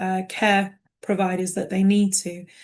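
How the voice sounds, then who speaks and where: Over a quiet background, a somewhat breathy woman in a British accent speaks at medium pitch and a fairly slow pace with monotone, flat intonation. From United Kingdom. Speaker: care management director. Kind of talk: panel discussion in a webinar.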